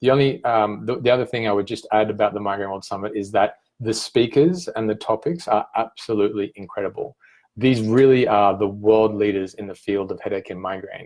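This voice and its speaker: Over a quiet background, a man with an Australian accent and a fairly low pitch speaks at a fairly quick pace with ordinary pitch variation. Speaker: migraine patient advocate and event founder. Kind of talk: promotional talk to camera. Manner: hesitant, many fillers.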